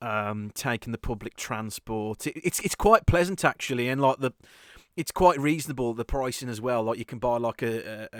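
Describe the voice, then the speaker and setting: A man with a Birmingham accent at a medium pitch and moderate pace, with ordinary pitch variation, in a very clean recording with a silent background and a dry, close sound with no echo. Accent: Birmingham-area. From English West Midlands, near Birmingham. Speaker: podcast host. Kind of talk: casual chat. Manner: halting, many repeated words.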